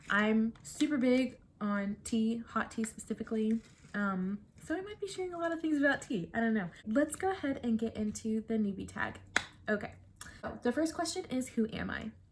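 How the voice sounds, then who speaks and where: A woman speaks in a fairly high pitch. Background noise is noticeable. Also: lively intonation, moderate pace. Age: 20s. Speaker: book vlogger. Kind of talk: casual vlog to camera. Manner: chatty, hesitant with many fillers.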